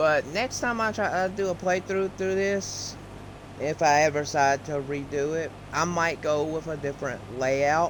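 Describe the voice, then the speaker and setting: Against noticeable background noise, a man with a fairly high pitch speaks fairly slowly with ordinary pitch variation. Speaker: gaming YouTuber. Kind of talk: casual gameplay commentary. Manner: halting, self-correcting.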